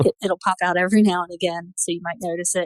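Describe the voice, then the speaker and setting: A woman at medium pitch with an American accent, very fast pace and fairly even intonation, in a dry, close sound with no echo. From US Southeast. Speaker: physician and professor. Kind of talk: interview podcast.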